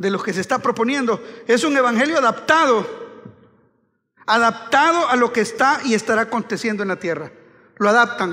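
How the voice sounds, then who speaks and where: A man's raised, projected voice at an extremely high pitch, bright and sharp in tone, at a moderate pace with long, frequent pauses, ordinary pitch variation and a quiet background. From Honduras. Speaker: pastor. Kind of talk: sermon. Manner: animated. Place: church. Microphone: headset.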